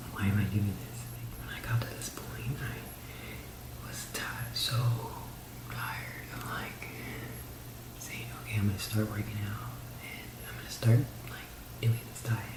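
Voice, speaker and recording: A man whispering at a fairly slow pace, with long, frequent pauses, big swings in loudness and noticeable background noise. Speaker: ASMR YouTuber. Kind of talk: ASMR whispered personal story; casual talk to camera. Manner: whispered.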